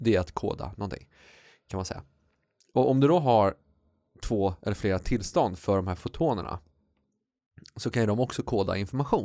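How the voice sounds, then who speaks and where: Using long, frequent pauses yet a fairly quick pace, a man speaks in a dark, mellow tone at a fairly low pitch with lively intonation, in a very clean recording with a silent background. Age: 40s. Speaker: podcast co-host. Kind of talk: casual chat.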